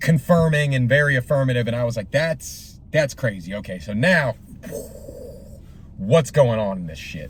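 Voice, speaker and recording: A man talks with lively intonation, big swings in loudness and long, frequent pauses over noticeable background noise. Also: medium pitch for a man, moderate pace. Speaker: movie reaction vlogger. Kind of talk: casual movie review monologue. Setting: in a car. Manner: halting, many fillers.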